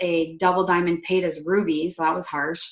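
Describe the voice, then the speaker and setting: A woman with a slight Quebec accent and fairly low pitch speaks at a fairly slow pace. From Quebec, Canada. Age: 20s. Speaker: network marketing distributor. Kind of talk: personal success story on a video call. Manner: casual, many fillers.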